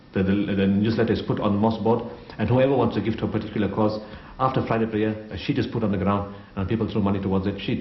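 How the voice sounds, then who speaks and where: Speaking at a very fast pace, a man uses a fairly low pitch and monotone, flat intonation. The recording has audible room echo and noticeable background noise. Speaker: humanitarian aid organization founder. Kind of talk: interview testimony.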